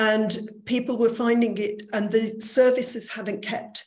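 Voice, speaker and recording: Her voice is somewhat breathy, and the woman speaks at a very slow pace. Room echo is audible. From northern England, Manchester. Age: 60s. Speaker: recruitment business owner. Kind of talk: online lecture.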